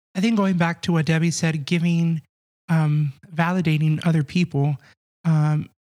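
This man has a dark, mellow tone and a fairly high pitch. His intonation stays fairly even. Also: dry, close sound with no echo. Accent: American. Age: 20s. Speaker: church media volunteer and graphic designer. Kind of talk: casual chat.

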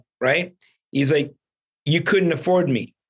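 A man speaks in an energetic tone with ordinary pitch variation. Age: 40s. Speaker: real estate investor. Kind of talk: interview.

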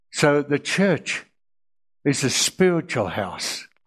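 Against a quiet background, a man speaks at a very slow pace. His fairly high pitch carries lively intonation. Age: 80s+. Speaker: Bible teacher. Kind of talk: sermon. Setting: stage with audience. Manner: halting.

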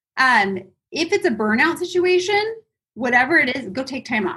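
A woman with an energetic tone at a fairly quick pace. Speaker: real estate team leader. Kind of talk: interview. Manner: fast.

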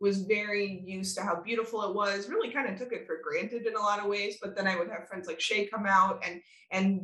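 Medium pitch, moderate pace and an ordinary speaking voice from a woman. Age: 30s. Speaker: event venue owner. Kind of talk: interview.

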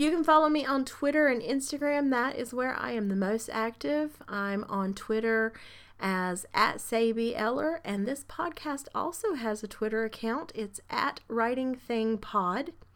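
An ordinary speaking voice moves at a fairly slow pace with hardly any pauses and lively intonation. The recording is very clean, with a silent background. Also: woman, fairly high pitch for a woman. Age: 40s. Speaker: podcast host and writer. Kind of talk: solo monologue podcast.

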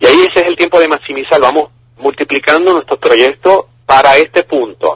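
The recording has a dry, close sound with no echo. A man speaks at a fairly slow pace. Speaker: finance professor. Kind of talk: interview answers. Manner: halting, repeats words.

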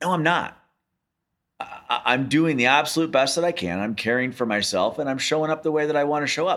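A man talks in a plain, everyday voice at a fairly high pitch with ordinary pitch variation. His pace is fairly quick. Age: 40s. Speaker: podcast co-host. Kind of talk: casual chat.

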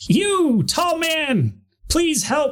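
A high, squeaky, put-on character voice. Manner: pleading, asking for help.

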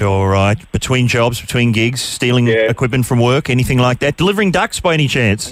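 At a fairly quick pace with hardly any pauses, a man with an Australian accent keeps a medium pitch, ordinary pitch variation and very even loudness. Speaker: radio host. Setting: studio.

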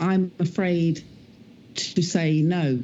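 At a very slow pace, a woman speaks with a fairly low pitch, a dark, mellow tone, and fairly even intonation.

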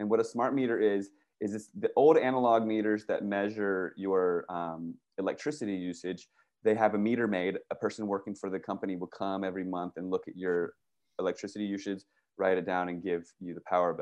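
A man with an American accent and a normal speaking voice, fairly low in pitch, fairly even in intonation, at a fairly quick pace over a quiet background. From Virginia / Washington DC area. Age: 40s. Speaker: activist and documentary filmmaker. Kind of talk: interview.

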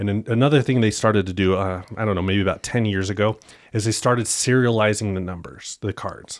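A man with a normal speaking voice, fairly low in pitch, talks at a fairly quick pace with fairly even intonation, recorded very cleanly against a silent background. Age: 30s. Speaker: sports card collector and trader. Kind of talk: casual interview.

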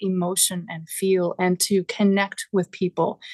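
A woman speaks at a medium pitch with monotone, flat intonation. The sound is dry and close with no echo, over a quiet background. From Newfoundland. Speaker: recording engineer and producer. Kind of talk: interview.

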